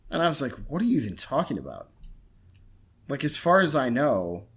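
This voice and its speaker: This man speaks at a medium pitch, and vocal fry runs through his voice. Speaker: podcast co-host. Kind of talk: casual chat. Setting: remote recording. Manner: halting, many fillers.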